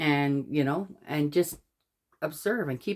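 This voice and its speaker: On a very clean recording with a silent background, a woman with a very deep, low pitch speaks at a very slow pace with lively intonation. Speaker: tarot reader. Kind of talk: tarot card reading with commentary. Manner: stammers when reading aloud.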